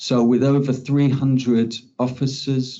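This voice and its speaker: A man's medium-pitched, monotone, flat delivery with audible room echo. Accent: English. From England. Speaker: criminology researcher. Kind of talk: conference talk.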